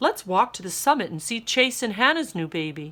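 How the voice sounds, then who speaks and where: A woman's put-on character voice, fairly high in pitch, with very wide pitch swings, big swings in loudness and a fairly quick pace. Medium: read story.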